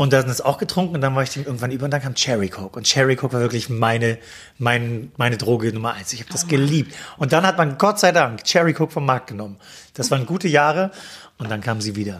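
A man talks very fast at a medium pitch, his intonation lively. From Mecklenburg-Vorpommern, Germany. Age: 30s. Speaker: TV editor and talk show host. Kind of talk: casual interview.

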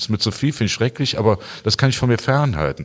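A man's lively intonation with vocal fry, in a very clean recording with a silent background. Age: 60s. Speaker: pastor. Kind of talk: interview. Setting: church. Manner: halting, repeats words.

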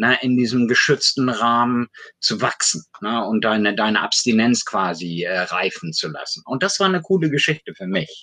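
A man's bright, sharp voice at a medium pitch and moderate pace, with very wide pitch swings. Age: 50s. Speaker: addiction self-help association board member. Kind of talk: casual chat.

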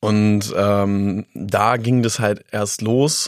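This man's voice sits fairly low, and his intonation stays fairly even. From Lower Saxony, Germany (Harz region near Göttingen). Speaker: beatboxer and street musician. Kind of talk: interview. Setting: studio.

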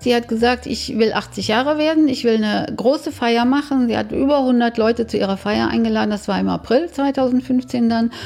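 A woman talks with hardly any pauses. Background noise is noticeable throughout. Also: moderate pace. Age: 60s. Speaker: bereaved daughter telling her story. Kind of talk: personal testimony interview.

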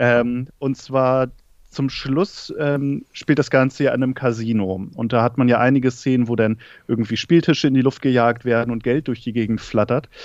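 A man speaks at a medium pitch with fairly even intonation in an ordinary speaking voice. The background is quiet. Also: moderate pace. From northern Germany, Schleswig-Holstein. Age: 30s. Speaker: film content creator. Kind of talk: casual chat. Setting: remote call from living room.

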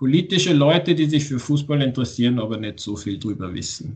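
Somewhat breathy, the man's voice sits fairly high in pitch. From Austria, Tyrol. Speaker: author. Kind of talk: interview. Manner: halting.

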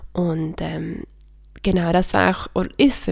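A woman speaking at a very slow pace. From Switzerland. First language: Swiss German (speaking German). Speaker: podcast host and grief counselor. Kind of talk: solo podcast monologue. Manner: hesitant with many fillers.

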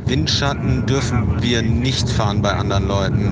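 A man speaks at a fairly low pitch. Noticeable background noise and audible room echo fill the recording. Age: 50s. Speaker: photographer and long-distance cyclist. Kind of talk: video diary. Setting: on the road, in a car and outdoors. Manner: hesitant with many fillers.

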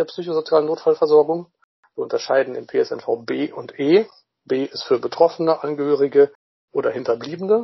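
Fairly quick speech from a man, loudness rising and falling sharply. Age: 30s. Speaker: social worker and crisis intervention volunteer. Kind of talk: interview.

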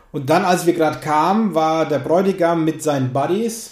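This is a man speaking with a Lower Franconian accent. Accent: Lower Franconian, rolled R. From Lower Franconia, Germany. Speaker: podcast host, musician. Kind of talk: casual interview chat.

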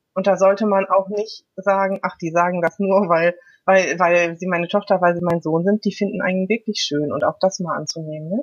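In a plain, everyday voice, a woman of medium pitch talks at a moderate pace with fairly even intonation. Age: 50s. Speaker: food coach and mental trainer. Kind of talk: casual interview.

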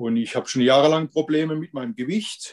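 A man at a moderate pace with a fairly high pitch, the sound dry and close with no echo. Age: 50s. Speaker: weight-loss coaching client. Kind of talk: interview testimony. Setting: video call. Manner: halting.

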